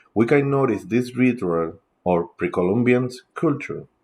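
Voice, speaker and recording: Speaking with a Spanish accent, a man goes at a fairly slow pace with lively intonation. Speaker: teacher and podcaster. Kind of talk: casual lecture. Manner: halting, with filler sounds.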